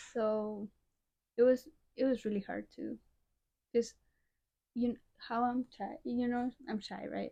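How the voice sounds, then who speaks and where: A woman with a Chilean accent speaks at a fairly slow pace in a fairly high voice with a dark, mellow tone. Her intonation is monotone and flat, broken by long, frequent pauses. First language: Spanish. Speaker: college soccer player. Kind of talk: interview. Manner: hesitant, shy.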